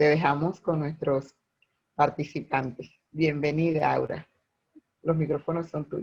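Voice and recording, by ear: A man speaks fairly slowly in a fairly high voice with vocal fry. His tone is slightly mellow, with little pitch movement.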